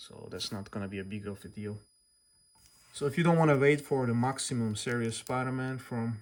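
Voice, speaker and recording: A non-native accent is present. Words come at a fairly quick clip. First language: not English. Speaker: toy reviewer and customizer. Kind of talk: tutorial. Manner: casual, slightly halting.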